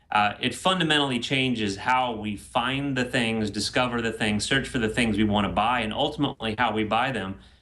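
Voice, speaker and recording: A man with an American accent talks at a fairly quick pace, with hardly any pauses. His pitch is medium with ordinary variation, and there is noticeable background noise. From Texas. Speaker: author, mobile marketing expert. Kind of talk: interview.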